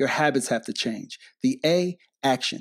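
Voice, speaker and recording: A man talks in an animated tone at a fairly high pitch. The recording is very clean, with a silent background. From Detroit, Michigan. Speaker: motivational speaker. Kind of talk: interview.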